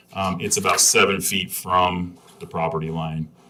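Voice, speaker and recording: Amid noticeable background noise, a man speaks in a very deep, low pitch with monotone, flat intonation. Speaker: variance applicant. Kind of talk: public hearing testimony. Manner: fast; halting.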